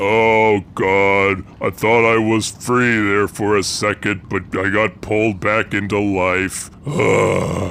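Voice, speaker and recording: A man does a put-on character voice, fairly low and deadpan, at a very slow pace over clear background noise. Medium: actual play. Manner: deadpan, gloomy.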